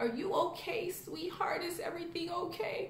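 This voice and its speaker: A put-on character voice that sounds female, pitched extremely high for a woman, moves at a moderate pace with a slight echo. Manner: caring, gentle.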